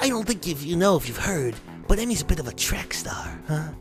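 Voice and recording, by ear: A put-on character voice at a middle pitch moves at a fairly quick pace. Clear music plays in the background.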